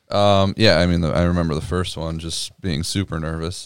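Very deep and low in pitch, a man speaks at a very fast pace with fairly even intonation. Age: 30s. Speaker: golf professional. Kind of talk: casual chat. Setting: studio.

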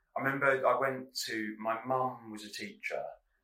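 Fairly slow speech from a man, plus audible room echo. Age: 30s. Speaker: comedy producer. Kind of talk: casual interview. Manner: quiet; calm.

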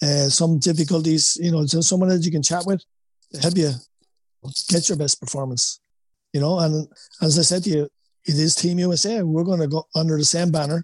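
With a strong Wexford Irish accent, the speaker talks at a fairly quick pace with fairly even intonation and long, frequent pauses, in a dry, close sound with no echo. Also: man, fairly high pitch for a man. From Ireland, Wexford. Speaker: boxing coach. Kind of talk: interview.

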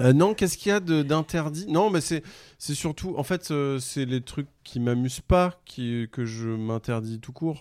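Recorded very cleanly against a silent background, a man with a plain, everyday voice speaks at a fairly slow pace in a fairly high pitch with lively intonation. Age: 40s. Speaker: comedian. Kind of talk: casual chat.

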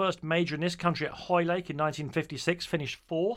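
A man talks at a very fast pace with a British accent. His pitch sits high for a man. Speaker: radio host. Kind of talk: interview.

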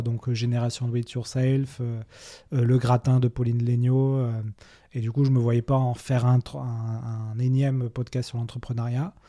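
Recorded very cleanly against a silent background, a man speaks at a medium pitch and moderate pace with a dark, mellow tone. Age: 30s. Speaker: sales director and podcaster. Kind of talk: interview. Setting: video studio.

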